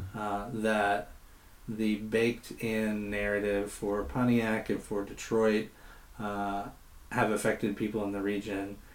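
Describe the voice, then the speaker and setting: Speaking at a fairly slow pace, a man keeps his fairly low voice in a flat monotone. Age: young. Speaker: nonprofit director. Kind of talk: interview. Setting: on location interview.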